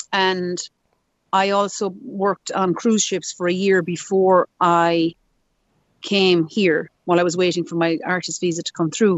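At a fairly slow pace, a woman talks at a medium pitch with fairly even intonation. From Ireland. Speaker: musician. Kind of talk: interview. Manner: run-on, chatty.

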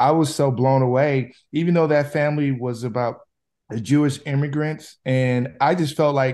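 Against a quiet background, a man with an American accent has an unremarkable speaking voice of medium pitch, talking at a moderate pace with fairly even intonation. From US Midwest, Chicago. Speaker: film director. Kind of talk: interview.

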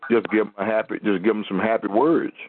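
A man's fairly low-pitched, ordinary speaking voice at a fairly quick pace, with fairly even intonation. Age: 50s. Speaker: preacher hosting a call-in prayer line. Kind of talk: sermon and call-in discussion.

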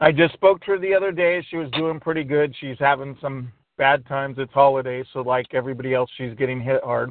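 A man with a plain, everyday voice, fairly high in pitch with ordinary variation, at a fairly quick pace. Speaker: activism call host. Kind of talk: live group call. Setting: phone call.

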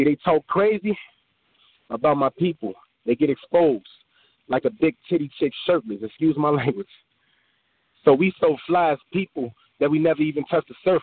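A man with an American accent talks at a moderate pace, pitched fairly high with ordinary pitch variation. His loudness stays very even, and he takes long, frequent pauses. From Illinois. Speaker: poet. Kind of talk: spoken word poetry performance.

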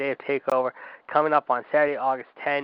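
A man talking at a fairly quick pace. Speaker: wrestling podcast host. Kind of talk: live wrestling-announcer patter, bombastic radio-show host delivery with call-in segment. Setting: live call-in radio show.

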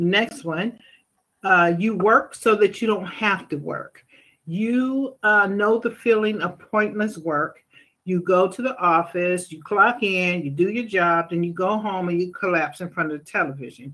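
At a fairly slow pace, a woman talks in a bright, sharp tone at medium pitch with ordinary pitch variation. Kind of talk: faith-based advice talk. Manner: stuttering, halting; conversational, many fillers.

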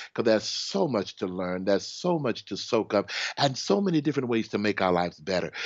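An animated man with an American accent, medium in pitch, with lively intonation. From Houston, Texas. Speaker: hypnotherapist and spiritual minister. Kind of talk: interview conversation.

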